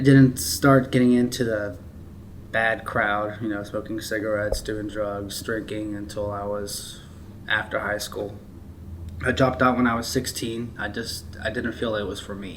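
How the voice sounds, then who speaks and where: There is audible room echo as a man with a fairly low voice speaks at a moderate pace. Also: fairly even intonation. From Maryland, US. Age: 20s. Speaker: formerly homeless person in recovery. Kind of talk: testimony.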